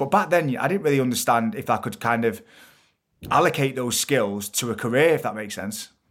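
Fairly quick speech in a Mancunian accent with lively intonation, on a very clean recording with a silent background. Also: man, medium pitch for a man. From Manchester, England. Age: 30s. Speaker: entrepreneur and TV presenter. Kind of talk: casual interview chat.

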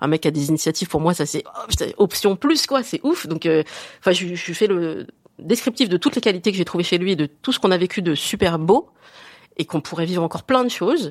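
In a dry, close recording with no echo, a woman with an unremarkable speaking voice uses lively intonation at a fairly low pitch. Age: 40s. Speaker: woman asking a dating question. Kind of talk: casual chat.

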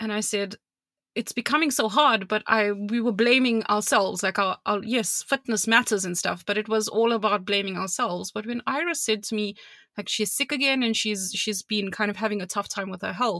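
A woman with a South African accent speaks at a fairly high pitch in a bright, sharp tone on a very clean recording with a silent background. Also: ordinary pitch variation, fairly quick pace, dry, close sound with no echo. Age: 30s. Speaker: podcast co-host. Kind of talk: casual chat.

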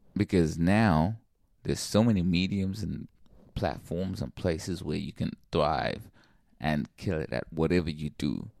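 A man with a very deep, low voice and vocal fry speaks fairly slowly, with ordinary pitch variation. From Zimbabwe, raised in Sydney. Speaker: hip hop artist. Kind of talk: casual chat. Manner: animated.

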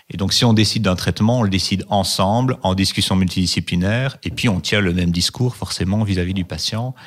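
A man speaks at a fairly quick pace with hardly any pauses. His pitch is fairly low, with ordinary variation. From Belgium, Liège. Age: 40s. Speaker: oncology nurse. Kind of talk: interview. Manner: hesitant, many fillers.

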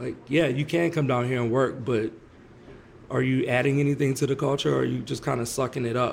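His voice is somewhat breathy, pitched in the middle range for a man, and it rises and falls in an ordinary way. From New Orleans. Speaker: saxophone player. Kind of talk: interview. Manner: casual.

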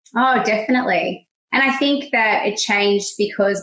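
This voice has an Australian accent and ordinary pitch variation. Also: woman. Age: 30s. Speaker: stay-at-home mother. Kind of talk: interview.

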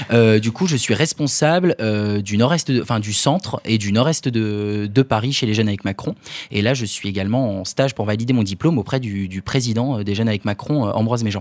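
Here a man has a normal speaking voice at medium pitch. He talks at a fairly quick pace with ordinary pitch variation. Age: 20s. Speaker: young political activist. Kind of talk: panel discussion.

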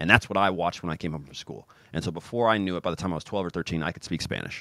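A man's very deep, low voice with vocal fry, in an American accent. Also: very clean recording, silent background. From US Midwest, Kansas City. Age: 30s. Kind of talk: casual interview. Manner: animated.

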